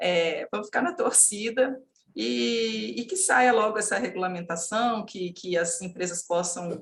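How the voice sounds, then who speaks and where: At a fairly slow pace, a woman of medium pitch speaks with very wide pitch swings. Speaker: legal consultant. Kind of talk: panel discussion. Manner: halting, many fillers.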